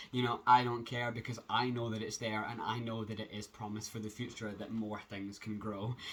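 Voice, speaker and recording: With a Scottish accent and a medium pitch, a man talks at a moderate pace with hardly any pauses and monotone, flat intonation over noticeable background noise. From Scotland. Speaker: transgender vlogger. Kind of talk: casual vlog update. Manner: hesitant, many fillers.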